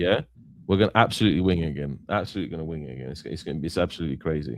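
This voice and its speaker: Lively intonation and vocal fry from a man. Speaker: football streamer. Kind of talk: live stream chat. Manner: halting, repetitive.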